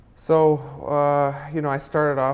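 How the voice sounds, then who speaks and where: Noticeable background noise sits behind a speaker who has an American accent. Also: man. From Minnesota, US. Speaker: film director. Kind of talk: interview. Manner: halting, many fillers.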